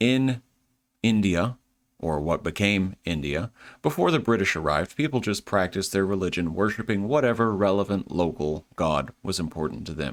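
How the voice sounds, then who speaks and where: A man speaks at a moderate pace with a Southern US accent, his pitch fairly low and his intonation lively. The recording is very clean, with a silent background. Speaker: history lecturer. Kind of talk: lecture. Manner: casual, conversational.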